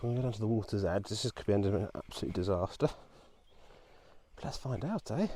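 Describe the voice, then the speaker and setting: A man speaks very fast with a fairly low pitch and a dark, mellow, somewhat breathy tone. Long pauses come often, and the very clean recording has a silent background. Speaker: vlogger. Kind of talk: casual vlog narration. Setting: outdoors, walking by a reservoir. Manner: quiet, almost whispering.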